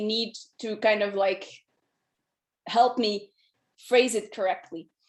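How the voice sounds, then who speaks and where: Speaking with a non-native accent, a woman keeps a moderate pace and fairly even intonation. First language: not English. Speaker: solution architect. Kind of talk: presentation.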